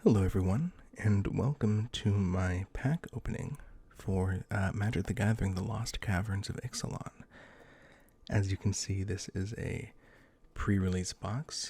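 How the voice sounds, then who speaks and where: A soft-spoken, somewhat breathy man's fairly low voice, dark and mellow in tone, with ordinary pitch variation at a fairly slow pace. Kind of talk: ASMR card pack opening.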